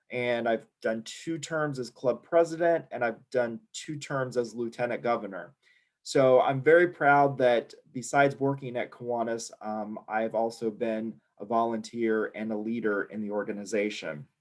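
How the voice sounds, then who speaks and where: A man talks at a medium pitch in a normal speaking voice. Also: ordinary pitch variation, moderate pace. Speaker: membership and education director presenting a workshop. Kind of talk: online workshop presentation.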